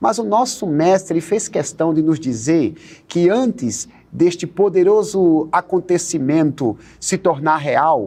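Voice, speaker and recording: A man talks at a very slow pace in a high pitch with a dark, mellow tone. His intonation is lively and his loudness stays very even. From Northeast Brazil. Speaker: pastor and Bible study teacher. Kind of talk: TV Bible study dialogue.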